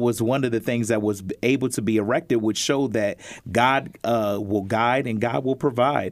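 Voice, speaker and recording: A man with an American accent talks at a moderate pace in an ordinary speaking voice, medium in pitch with ordinary variation and very even loudness, on a very clean recording with a silent background. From Pennsylvania (Harrisburg). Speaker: church elder. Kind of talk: panel discussion. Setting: studio.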